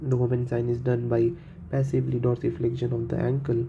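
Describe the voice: A man's dark, mellow tone at a medium pitch, flat and monotone in intonation, at a moderate pace.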